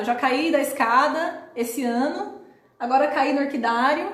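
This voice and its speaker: Audible room echo and noticeable background noise surround a woman speaking high in pitch with an animated tone and ordinary pitch variation. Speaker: live stream host answering viewer comments. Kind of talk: live stream chat. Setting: live stream from home with laptop.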